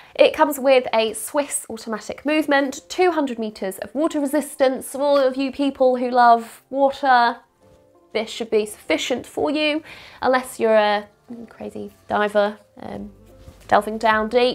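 Music plays behind a woman who speaks at a moderate pace in a high voice, with ordinary pitch variation and big swings in loudness. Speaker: watch reviewer. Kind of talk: casual talk to camera.

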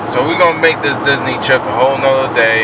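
A man talks at a moderate pace over loud background noise. The sound is dry, with no echo. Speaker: vlogger. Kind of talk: casual vlog talk to camera. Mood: happy, relieved. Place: car. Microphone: phone near.

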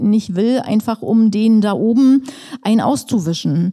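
A woman is speaking here. Her voice sits at medium pitch with a dark, mellow tone.

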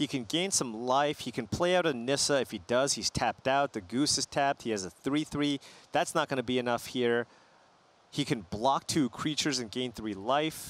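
A man's plain, everyday voice at medium pitch, with ordinary pitch variation and a moderate pace, in a dry, close sound with no echo. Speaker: esports commentator. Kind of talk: live esports commentary, analysis. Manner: analytical, conversational, explaining strategy.

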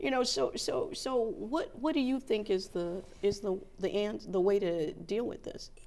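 With an American accent and a dark, mellow tone, a woman talks at a moderate pace through very wide pitch swings. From US South, New Orleans, Louisiana; Louisiana. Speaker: TV talk show host and journalist; TV talk show host, journalist. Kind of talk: interview. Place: studio. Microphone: lapel.

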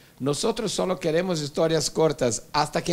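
With a Brazilian accent, a man talks in a fairly high pitch with ordinary pitch variation. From Brazil, Rio de Janeiro. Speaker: moderator, interviewer. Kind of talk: moderated panel conversation. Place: classroom. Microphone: handheld.

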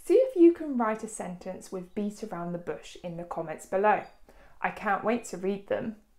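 With a British accent and a dark, mellow tone, a woman speaks at a fairly high pitch with big swings in loudness against a quiet background. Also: lively intonation. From United Kingdom. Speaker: English teacher. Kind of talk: tutorial. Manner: clear, deliberate.

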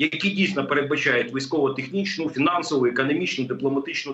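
A man is speaking. His intonation is lively. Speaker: remote guest. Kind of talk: interview answer. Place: home room.

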